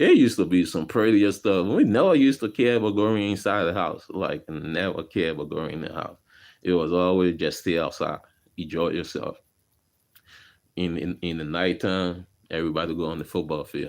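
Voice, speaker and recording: This man has a Liberian accent and a very deep, low pitch. His tone is animated. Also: ordinary pitch variation, moderate pace. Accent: Liberian accent, still noticeable. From Liberia (West Point, Monrovia). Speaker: vlogger. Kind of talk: casual storytelling vlog. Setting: garage. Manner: casual, animated.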